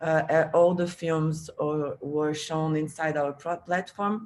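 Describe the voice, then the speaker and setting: Speech comes at a fairly slow pace. It is delivered in a Portuguese accent. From Brazil. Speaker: film festival organizer. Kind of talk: panel discussion. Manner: halting.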